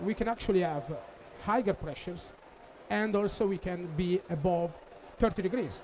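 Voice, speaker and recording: With a non-native accent, a man speaks at a high pitch, leaving long, frequent pauses amid noticeable background noise. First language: Italian. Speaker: applications engineer. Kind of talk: technical conference presentation. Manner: halting, many fillers.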